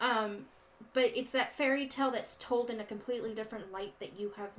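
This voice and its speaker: There is noticeable background noise in this clip. A woman speaks at a high pitch and a moderate pace. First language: not English. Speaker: podcast co-host. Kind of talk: casual chat. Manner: halting.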